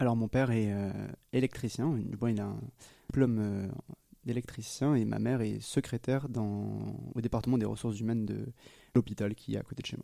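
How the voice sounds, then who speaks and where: With a dark, mellow tone at a medium pitch, a man speaks at a fairly quick pace with fairly even intonation and long, frequent pauses. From southwest France, near Agen. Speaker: physics student. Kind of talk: interview. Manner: hesitant, many fillers and repetitions.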